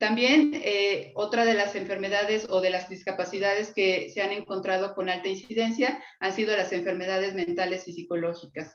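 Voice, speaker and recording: A woman's medium-pitched voice at a moderate pace, with ordinary pitch variation and hardly any pauses. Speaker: psychologist lecturer. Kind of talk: lecture. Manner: halting, many fillers.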